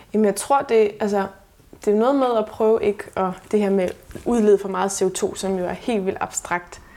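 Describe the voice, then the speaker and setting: A woman speaks in an unremarkable speaking voice at medium pitch. Her pace is moderate and her intonation fairly even. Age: 30s. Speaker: sustainability blogger. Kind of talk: casual interview. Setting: at host's home.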